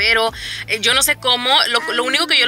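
A woman's voice sounds dry with no echo, while clear music plays in the background. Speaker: mother vlogger. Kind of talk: casual vlog chat. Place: car. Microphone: phone near.

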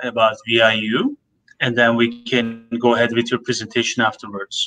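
Light background noise can be heard as a man talks. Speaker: language college program manager hosting webinar. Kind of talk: educational webinar. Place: office. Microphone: video call.

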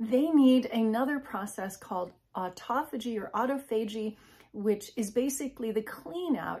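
Over a quiet background, a woman with a fairly high voice talks at a moderate pace with ordinary pitch variation. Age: 50s. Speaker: health and wellness video creator; wellness video creator. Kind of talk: informal educational talk to camera. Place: home room. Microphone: phone near.

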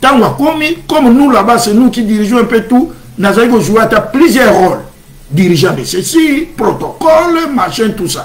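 The intonation is lively and the pace moderate, with light background noise. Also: man, extremely high pitch for a man. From DR Congo. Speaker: church channel host. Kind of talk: religious livestream talk. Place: home room. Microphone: webcam.

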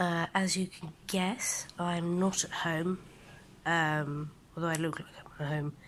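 Very slowly and in a flat monotone, a woman with a fairly low voice speaks in a weary tone over light background noise. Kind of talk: casual vlog chat. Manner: weary, low-energy patient voice. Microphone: phone near.

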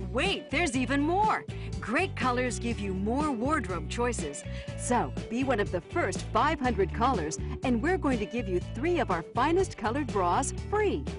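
Over music in the background, a woman speaks at a moderate pace in an upbeat tone. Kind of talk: TV infomercial read. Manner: upbeat, salesy.

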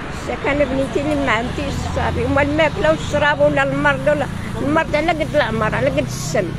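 Dry sound with no echo, with clear music in the background. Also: woman, fairly high pitch for a woman, fairly quick pace. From Morocco. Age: 70s. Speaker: homeless elderly woman; interviewee. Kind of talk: street interview. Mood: sad, pleading. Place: street. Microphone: handheld.

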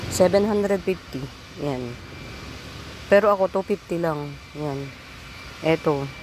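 Through noticeable background noise, a woman with a fairly low pitch and ordinary pitch variation speaks at a very slow pace, with long, frequent pauses. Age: old. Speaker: online plant seller. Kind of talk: live selling. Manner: chatty.

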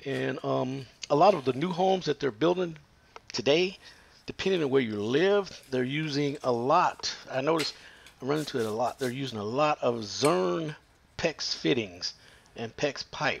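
This man speaks at a moderate pace with lively intonation. His speech has long, frequent pauses. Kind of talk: tutorial. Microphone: phone near.

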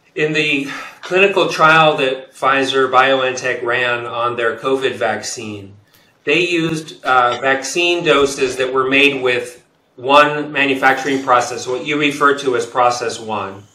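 A man speaks at a fairly slow pace with ordinary pitch variation. Audible room echo surrounds the voice. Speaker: guest. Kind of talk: interview answer. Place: office. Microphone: webcam.

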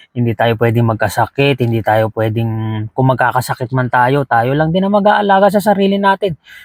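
Speaking at a fairly quick pace, a man barely pauses, his medium-pitched voice making very wide pitch swings. The sound is dry and close, with no echo. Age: 30s. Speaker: vlogger, overseas Filipino worker. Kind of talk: casual vlog monologue. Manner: halting.

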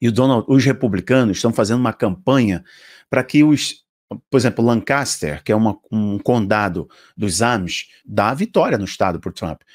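A man with a Brazilian accent, a moderate pace and ordinary pitch variation, over a quiet background. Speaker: preacher and video commentator. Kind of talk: religious commentary video, partly fervent prayer near 3:05. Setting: online video to camera, promoting app. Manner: fervent, passionate, emphatic; animated, rhetorical, addresses viewers directly. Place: home room. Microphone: studio mic.

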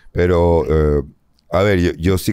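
This man has a very deep, low pitch and a dark, mellow tone, with fairly even intonation. The sound is dry with no echo, over a quiet background. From Venezuela. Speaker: comedian. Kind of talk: casual chat. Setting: studio. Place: studio.

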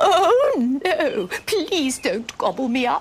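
A put-on character voice at an extremely high pitch swings very widely up and down while moving at a very slow pace. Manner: pleading, scared.

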